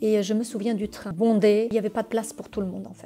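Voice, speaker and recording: A woman speaks in a medium pitch. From Portugal, raised in France from age five. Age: 50s. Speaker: immigrant resident. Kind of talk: personal testimony. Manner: hesitant, many fillers.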